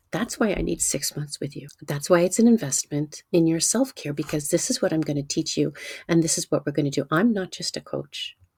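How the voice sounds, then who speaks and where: This woman talks fairly quickly in a very deep, low voice, somewhat breathy, with an animated tone and lively intonation. The recording is very clean and dry, close up with no echo and a silent background. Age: 60s. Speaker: nutrition coach. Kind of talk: sales pitch.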